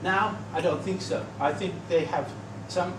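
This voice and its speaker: Room echo is audible, and background noise is noticeable. A man speaks at a moderate pace. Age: 70s. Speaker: conference speaker on medals. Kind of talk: presentation with slides. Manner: halting, repeats words.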